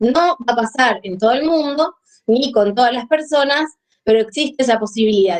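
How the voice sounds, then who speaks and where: A woman speaks at a moderate pace in a high pitch with lively intonation. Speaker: psychiatrist. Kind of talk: lecture.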